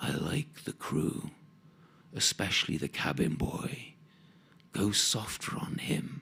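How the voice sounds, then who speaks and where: Whispering in a put-on character voice, a man talks at a fairly slow pace with long, frequent pauses. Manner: gentle, soft-spoken.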